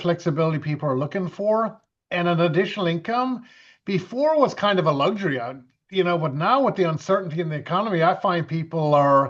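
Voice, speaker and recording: Against a quiet background, a man with a high voice and an Irish accent talks at a fairly quick pace with ordinary pitch variation. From western Ireland (Galway). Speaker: event MC and home business mentor. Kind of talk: business webinar talk.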